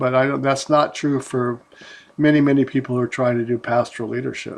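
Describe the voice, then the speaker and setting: The voice moves at a fairly quick pace in a flat monotone against a quiet background. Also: man, medium pitch for a man. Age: 70s. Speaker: pastor. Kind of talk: casual chat. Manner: halting.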